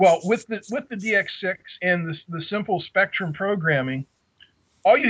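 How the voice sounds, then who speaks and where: Speaking with a Pittsburgh accent, a man talks at a moderate pace in a high pitch with ordinary pitch variation. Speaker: radio control hobbyist. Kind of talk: casual chat.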